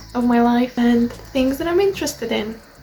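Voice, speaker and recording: A woman's high voice with a Polish accent, set against noticeable background noise. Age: 20s. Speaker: language learning vlogger. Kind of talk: vlog update. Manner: halting.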